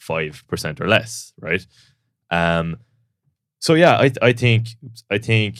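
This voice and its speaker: A man with a Cork accent is heard in a very clean recording with a silent background. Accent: Cork Irish. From Ireland, Cork. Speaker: powerlifter and coach. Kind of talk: podcast discussion. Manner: hesitant, repeats words.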